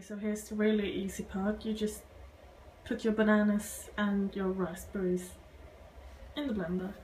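A woman at a moderate pace, fairly even in intonation, with long, frequent pauses and noticeable background noise. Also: medium pitch for a woman. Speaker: vegan cooking vlogger. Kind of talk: casual talk to camera.

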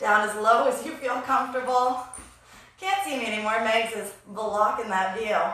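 There is audible room echo as a woman speaks at a moderate pace in a high pitch with ordinary pitch variation. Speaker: fitness instructor. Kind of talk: live workout instruction and counting. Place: gym. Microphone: camera far.

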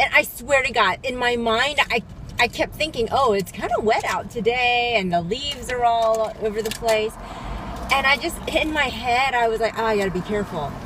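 There is noticeable background noise behind this woman. She speaks at a moderate pace, and the sound is dry with no echo. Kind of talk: casual vlog chat. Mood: animated, amused storytelling. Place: car. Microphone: phone near.

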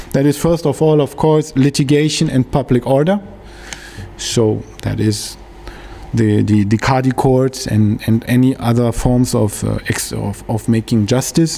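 A man at a fairly slow pace, his pitch varying in an ordinary way. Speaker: academic researcher; presenter. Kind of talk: lecture. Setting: workshop with audience. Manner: halting, searching for words. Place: hall. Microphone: podium.

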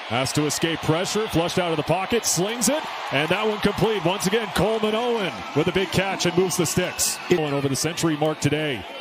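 Amid noticeable background noise, a man speaks at a very fast pace in a high pitch, with a dry sound with no echo. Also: ordinary pitch variation. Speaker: play-by-play announcer. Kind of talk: live play-by-play sports commentary. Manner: rapid-fire, clipped play calls; energetic and animated. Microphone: headset.

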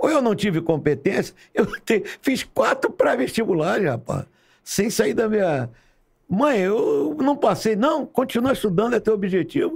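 The voice moves at a fairly slow pace with very wide pitch swings over a quiet background. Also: man, high pitch for a man. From Rio de Janeiro, Marechal Hermes; Rio de Janeiro. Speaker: retired fire brigade colonel; podcast guest. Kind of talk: casual interview storytelling. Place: studio. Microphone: studio mic.

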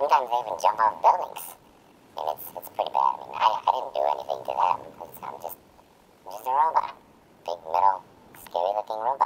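Someone talks at a fairly quick pace in a low-pitched, put-on character voice. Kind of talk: comedic character monologue. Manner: rambling, hesitant.

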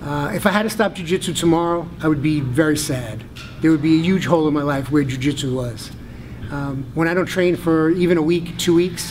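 With music playing in the background, a man talks at a fairly quick pace using ordinary pitch variation. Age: 50s. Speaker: jiu-jitsu purple belt. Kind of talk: interview answer. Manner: casual, hesitant. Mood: calm, reflective, heartfelt. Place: gym.

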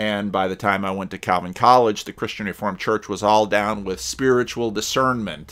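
A man talks at a fairly quick pace with a fairly low pitch. His pitch variation is ordinary, and the background is quiet. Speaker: pastor. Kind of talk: commentary. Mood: reflective, conversational. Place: home room. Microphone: webcam.

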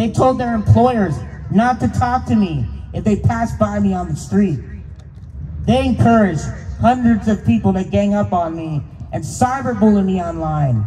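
A man with an American accent, a moderate pace, very wide pitch swings, and light background noise. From Pennsylvania, US. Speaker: speaker. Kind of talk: rally speech. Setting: stage with audience. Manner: earnest, impassioned. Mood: aggrieved, earnest. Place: street. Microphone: handheld.

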